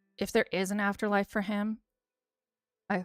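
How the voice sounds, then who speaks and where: A woman speaks with an American accent, the sound dry and close with no echo. Music plays in the background. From US, Western New York. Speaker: streamer. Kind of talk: casual chat. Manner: fast; animated.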